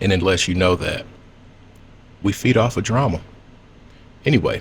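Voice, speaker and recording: Somewhat breathy and lively in intonation, a man speaks at a moderate pace with a fairly low pitch. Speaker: celebrity gossip commentator. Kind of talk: casual commentary.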